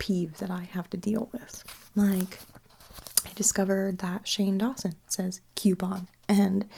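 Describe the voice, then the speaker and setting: Soft-spoken whispering at a fairly slow pace. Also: woman. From Canada. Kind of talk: ASMR accent tag video. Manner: soft-spoken with whispers.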